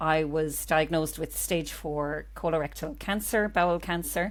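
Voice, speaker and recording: The speaker has a Cork accent and keeps a moderate pace. The recording is very clean, with a silent background. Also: woman. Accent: Cork Irish. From Ireland, Cork. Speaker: GP and cancer patient. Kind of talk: interview.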